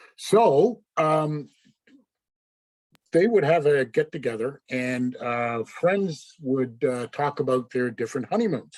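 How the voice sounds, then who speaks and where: With a Canadian Maritime accent, a man with a fairly high pitch speaks at a very slow pace using lively intonation. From Canada, Nova Scotia (Yarmouth). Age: 60s. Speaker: service club member. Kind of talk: personal talk to club. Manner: casual, halting with fillers.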